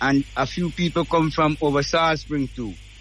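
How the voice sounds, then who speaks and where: Noticeable background noise sits behind a man with a fairly high pitch. He speaks fairly slowly in a monotone, flat intonation. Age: 70s. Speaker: fisherman. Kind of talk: oral history account.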